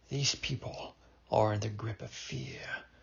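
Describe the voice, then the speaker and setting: In a put-on character voice, a man whispers quietly and with strain at a moderate pace. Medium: read story. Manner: quiet, restrained.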